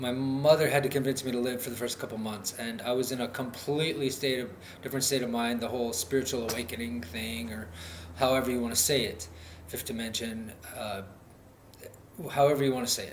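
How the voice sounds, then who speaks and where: With audible room echo and noticeable noise in the background, a man at medium pitch talks fairly briskly, his pitch varying in a normal way. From North Dakota, US Midwest. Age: 30s. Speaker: vlogger, recovery advocate. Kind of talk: personal vlog monologue. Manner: halting, many fillers.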